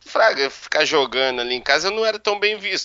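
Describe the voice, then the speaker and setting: A man races along at a very fast pace. His intonation is lively. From Minas Gerais, Brazil. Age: 30s. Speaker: professional poker player. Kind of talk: interview.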